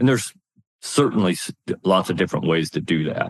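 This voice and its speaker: With an American accent, a man talks at a moderate pace in a very deep, low voice with vocal fry, the sound dry and close with no echo. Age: 60s. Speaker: retired army officer and leadership speaker. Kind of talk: interview.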